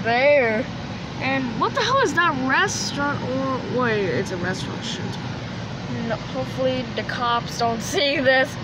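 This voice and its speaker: Over loud background noise, the very slow speech has a dry sound with no echo. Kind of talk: casual vlog chat. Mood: amused, surprised. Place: car. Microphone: phone near.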